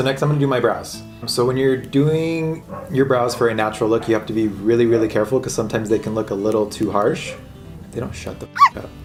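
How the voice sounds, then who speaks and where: The speech comes at a very fast pace with ordinary pitch variation. Music plays in the background. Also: man, medium pitch for a man. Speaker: makeup artist. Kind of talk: casual talk to camera.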